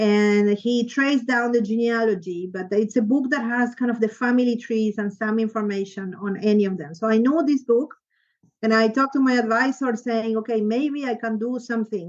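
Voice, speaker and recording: Against a quiet background, a woman with an Argentine accent talks at a fairly quick pace, with a fairly high pitch and ordinary pitch variation. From Argentina, Buenos Aires. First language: Spanish. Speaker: history professor. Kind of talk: interview.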